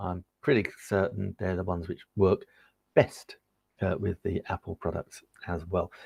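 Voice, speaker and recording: A man with an English accent speaks fairly slowly at a very deep, low pitch, somewhat breathy, in a dry, close sound with no echo. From England. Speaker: tech reviewer and live-stream seller. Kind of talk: live-stream product demo. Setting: live stream. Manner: casual, chatty with fillers.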